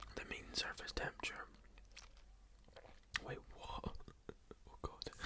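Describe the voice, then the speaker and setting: Whispering at a very slow pace, with noticeable background noise. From Scotland. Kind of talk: ASMR video, casual talk to camera.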